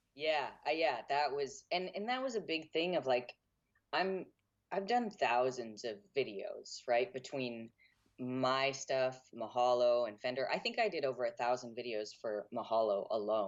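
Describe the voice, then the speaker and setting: A man with a medium-pitched, ordinary speaking voice talks at a fairly slow pace with lively intonation. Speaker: transgender musician and video creator. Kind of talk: interview. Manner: casual, with many fillers and restarts.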